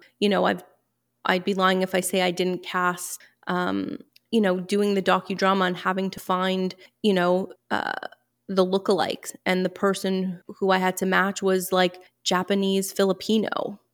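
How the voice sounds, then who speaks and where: A woman speaks in a monotone, flat intonation. The recording is very clean, with a silent background. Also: medium pitch for a woman, moderate pace. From Montreal, Quebec. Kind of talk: interview.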